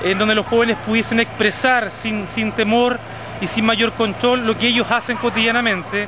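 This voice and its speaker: A man speaks in a raised, projected voice at a moderate pace with monotone, flat intonation and very even loudness. The sound is dry with no echo, though noticeable background noise is present. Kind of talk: interview answer. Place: street. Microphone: phone near.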